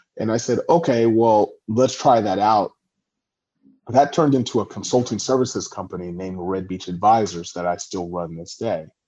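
Against a quiet background, a man with a Californian accent talks at a moderate pace in a fairly low voice with a dark, mellow tone. His loudness swings widely while his pitch varies in an ordinary way. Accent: General American (Californian). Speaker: tech startup founder and CEO. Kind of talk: interview.

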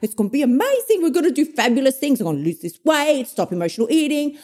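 In an Australian accent, a woman talks at a very fast pace with a high pitch, an animated tone and very wide pitch swings. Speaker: emotional eating coach. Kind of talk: solo motivational podcast monologue. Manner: fast talker, aggressive, animated.

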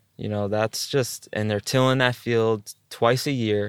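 A man with an American accent, medium pitch, moderate pace and fairly even intonation, in a dry, close sound with no echo, a normal speaking voice. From US East Coast, New York area. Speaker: organic farmer and music producer. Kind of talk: casual interview conversation.

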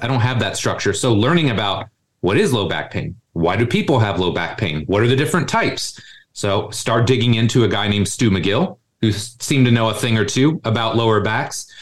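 A somewhat breathy male voice at medium pitch, fairly quick in pace, with lively intonation. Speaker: strength coach, gym co-founder. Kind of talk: podcast interview. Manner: casual, animated.

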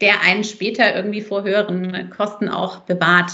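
Her medium-pitched voice stays monotone and flat as the woman talks at a moderate pace. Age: 30s. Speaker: company founder and mother. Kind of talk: casual interview.

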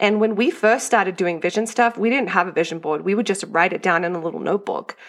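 A woman with an American accent speaks at medium pitch with ordinary pitch variation. The recording is very clean, with a silent background. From Australia. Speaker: homeschooling mom. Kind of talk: casual chat.

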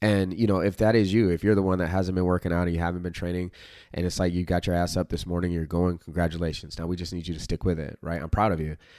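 A man with a very deep, low pitch and a dark, mellow tone rushes along at a very fast pace in a monotone, flat intonation, on a very clean recording with a silent background. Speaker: self-improvement podcast host. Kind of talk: casual solo monologue. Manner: casual, filler-heavy.

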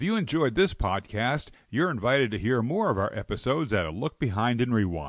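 A man with an American accent talks at a moderate pace. His voice has vocal fry and very wide pitch swings. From New Jersey. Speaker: podcast host and storyteller. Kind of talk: scripted narration.

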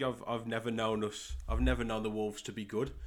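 A man speaks at medium pitch in an English Midlands accent. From Midlands, England. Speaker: podcast host and football coach. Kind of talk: solo podcast monologue, pilot episode.

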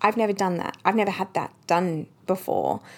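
Her voice has vocal fry and sits at a fairly low pitch for a woman. She keeps a moderate pace with ordinary pitch variation. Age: 30s. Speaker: podcast host and life coach. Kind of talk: personal monologue podcast. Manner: casual.

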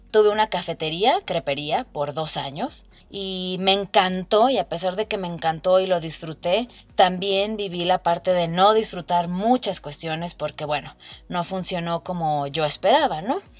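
Captured in a very clean recording with a silent background, a woman speaks at a medium pitch and a fairly slow pace, with ordinary pitch variation. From Mexico, Guadalajara, Jalisco. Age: 20s. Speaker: podcast host, meditation guide. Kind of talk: casual personal monologue.

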